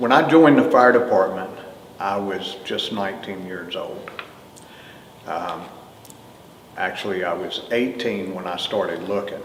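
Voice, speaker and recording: A man with a North Carolina accent talks at a fairly slow pace in a fairly low pitch with ordinary pitch variation. Noticeable background noise and audible room echo are present. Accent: North Carolina Southern. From US South, Greensboro, North Carolina. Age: 60s. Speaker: retired fire chief. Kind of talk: oral history interview. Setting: museum.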